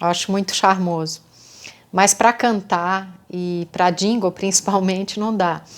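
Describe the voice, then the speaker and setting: Fairly slow, fairly even speech from a woman at a medium pitch. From interior of São Paulo state, Brazil. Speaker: singer and songwriter. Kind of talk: casual storytelling monologue. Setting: self-recorded at night. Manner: halting, with many false starts.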